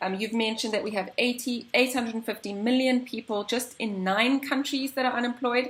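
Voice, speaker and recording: A woman's high-pitched voice at a fairly quick clip, barely pausing, with fairly even intonation over noticeable background noise. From South Africa. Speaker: interviewer. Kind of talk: interview.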